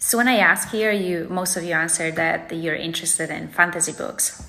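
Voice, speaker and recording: A woman's fairly low voice with a Polish accent, at a moderate pace with ordinary pitch variation. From Poland. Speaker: book vlogger. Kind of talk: casual vlog monologue.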